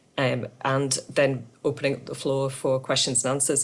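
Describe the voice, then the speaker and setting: Her pitch sits very deep and low as the woman talks. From Yorkshire, northern England. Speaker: circular economy consultant. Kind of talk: webinar presentation. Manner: hesitant, many fillers.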